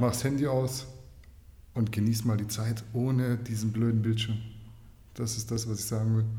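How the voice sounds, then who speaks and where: Audible room echo surrounds a man's somewhat breathy, dark, mellow voice at medium pitch. He speaks at a moderate pace in a flat monotone, with long, frequent pauses. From Swabia, Germany (Kornwestheim). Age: 30s. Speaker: fitness journalist. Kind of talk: casual chat.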